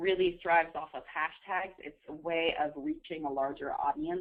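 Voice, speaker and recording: A woman with an unremarkable speaking voice talks at a fairly quick pace, her fairly low pitch carried on fairly even intonation. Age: 20s. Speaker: social media consultant. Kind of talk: webinar presentation. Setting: webinar call.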